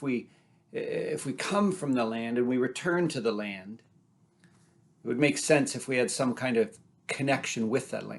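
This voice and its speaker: A man talks at a moderate pace in an unremarkable speaking voice. His pitch sits in the middle range and varies in an ordinary way. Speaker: storyteller. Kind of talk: personal storytelling.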